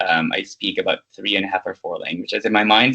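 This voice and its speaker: A man's voice sits at a fairly low pitch with a bright, sharp tone. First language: not English. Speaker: leadership program manager, MBA alumnus. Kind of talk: interview. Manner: halting, many fillers.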